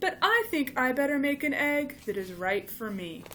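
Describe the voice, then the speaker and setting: A woman's high-pitched, put-on character voice at a moderate pace, with very wide pitch swings and clear background noise. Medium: read story. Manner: eager, earnest.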